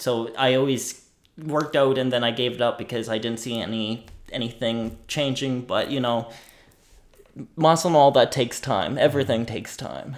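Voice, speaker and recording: A man with a Nova Scotian accent, medium pitch, fairly even intonation and a moderate pace. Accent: rural Nova Scotian English. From Nova Scotia, Annapolis Valley. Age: 20s. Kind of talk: casual interview. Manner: halting, repeats words.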